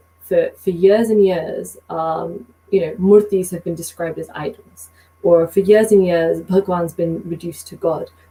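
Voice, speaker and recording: A woman with a British accent speaks at a fairly slow pace in a fairly low pitch, her intonation fairly even while her loudness swings widely. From Britain. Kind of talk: podcast conversation.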